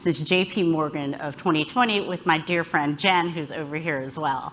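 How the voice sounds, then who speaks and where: In an American accent, a woman speaks at a moderate pace with fairly low pitch. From US South, Alabama. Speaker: health policy executive, keynote speaker. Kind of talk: conference talk. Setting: stage with audience.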